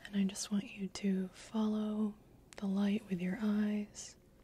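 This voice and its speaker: A soft-spoken woman talks in a gentle tone. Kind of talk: soft-spoken roleplay exam talk. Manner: soft-spoken, gentle ASMR doctor voice. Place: home room.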